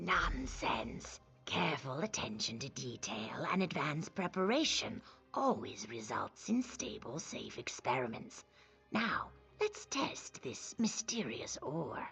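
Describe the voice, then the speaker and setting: A put-on character voice at a middle pitch and a fairly slow pace, with faint music in the background. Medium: video game. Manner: precise, self-assured.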